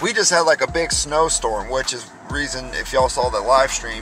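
A man's voice comes through dry with no echo. Clear music plays in the background. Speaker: driver vlogger. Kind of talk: casual vlog chat. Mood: annoyed, venting. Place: car. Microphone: phone near.

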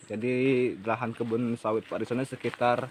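Over light background noise, a man talks at a moderate pace in a monotone, flat way. The sound is dry, with no echo. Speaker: vlogger host. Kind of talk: casual vlog chat and interview questions. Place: garden. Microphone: phone near.

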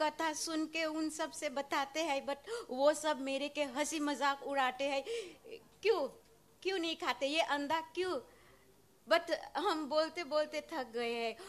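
A woman talks at a very slow pace. Her voice is high in pitch, with ordinary variation. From Suriname. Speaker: nurse. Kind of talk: devotee's audience question. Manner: halting. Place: hall. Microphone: handheld.

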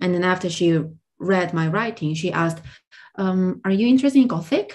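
This woman has a fairly low pitch and speaks with a Korean accent. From South Korea. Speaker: translator and language tutor. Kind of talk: interview conversation.

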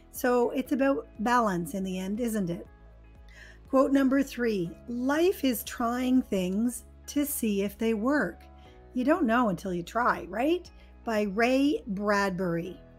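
An American accent comes through with lively intonation at a very slow pace. Music plays in the background. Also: woman, fairly high pitch for a woman. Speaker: English teacher. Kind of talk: educational lesson narration. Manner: clear, slow.

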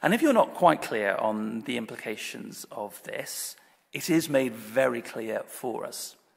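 A man talks at a fairly slow pace in an ordinary speaking voice. His pitch is medium, and the background is quiet. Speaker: Anglican priest giving a sermon. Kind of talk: church sermon delivered to a congregation. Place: church. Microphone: podium.

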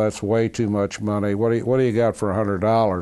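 This man's fairly low voice has a dark, mellow tone and fairly even intonation. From Kentucky. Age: 80s+. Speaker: oral history interviewee. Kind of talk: oral history interview answer. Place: home room.

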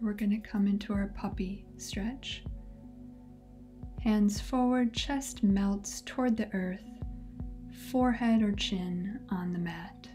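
Speaking very slowly with long, frequent pauses, a woman keeps a fairly even intonation while faint music plays in the background. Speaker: yoga instructor. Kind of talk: guided yoga instruction. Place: home room.

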